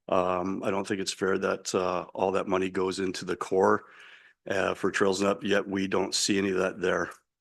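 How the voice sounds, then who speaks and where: Against a quiet background, a man speaks with a Canadian accent. His pitch is fairly low and his pace moderate. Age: 60s. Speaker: resident speaking at council. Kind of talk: public comment at council meeting.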